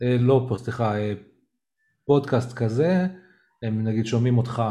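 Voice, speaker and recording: A man speaks with ordinary pitch variation. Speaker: podcast host who stutters. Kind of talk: casual chat. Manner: halting.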